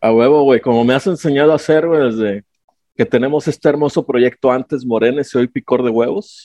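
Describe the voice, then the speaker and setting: A man at a fairly quick pace, dark and mellow in tone, with very even loudness and a dry, close sound with no echo. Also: medium pitch for a man, ordinary pitch variation. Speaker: podcast co-host. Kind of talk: casual chat.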